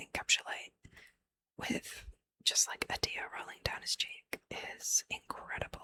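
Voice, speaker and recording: A woman whispers at a fairly slow pace, the sound dry and close with no echo. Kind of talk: ASMR ramble about movie characters, casual talk. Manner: whispered, soft-spoken.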